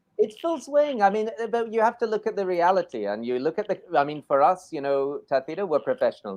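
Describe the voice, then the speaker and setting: Speaking with a Scottish accent, a man moves at a fairly quick pace. His pitch swings very widely, and the sound is dry and close with no echo. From Scotland. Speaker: English teacher in Spain. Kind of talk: live online show chat. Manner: animated.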